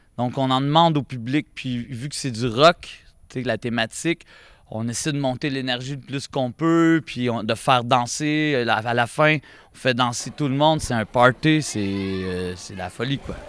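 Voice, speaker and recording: A man with a Quebec accent talks fairly slowly at a medium pitch, with ordinary pitch variation. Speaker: street performer. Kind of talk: interview.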